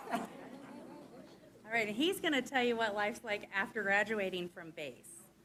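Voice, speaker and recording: Loud and bright with a sharp edge, this voice moves at a moderate pace with lively intonation. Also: woman, fairly high pitch for a woman. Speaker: teacher. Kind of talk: informal presentation. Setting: school board meeting.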